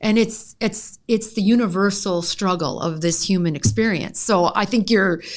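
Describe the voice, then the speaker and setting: At a fairly slow pace, a woman speaks in a plain, everyday voice at a medium pitch with ordinary pitch variation. The recording is very clean with a silent background. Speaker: vocal coach and voice therapist. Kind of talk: podcast interview host.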